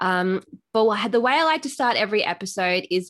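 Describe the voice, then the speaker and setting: A woman speaks with an Australian accent and ordinary pitch variation. The background is quiet. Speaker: podcast host. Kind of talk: casual interview chat.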